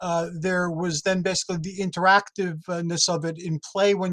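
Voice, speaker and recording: A man's high, monotone voice with flat intonation at a moderate pace, in a dry, close sound with no echo. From Greek-American family. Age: 60s. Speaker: mythology enthusiast. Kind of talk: interview. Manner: halting, stammering.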